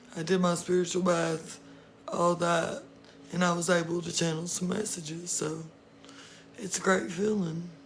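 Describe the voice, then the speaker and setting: The speaker goes at a moderate pace, with long, frequent pauses. Noticeable background noise runs throughout. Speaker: tarot reader. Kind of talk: live stream chat. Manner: casual.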